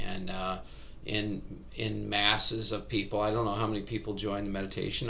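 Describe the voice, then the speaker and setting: The man speaks at a fairly slow pace. Audible room echo surrounds his voice. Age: 60s. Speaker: meditation teacher. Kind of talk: casual chat.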